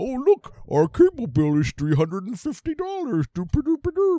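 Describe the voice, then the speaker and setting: Putting on a character voice, a man speaks at a fairly slow pace in an extremely high pitch with very wide pitch swings. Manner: dopey, oblivious, mocking.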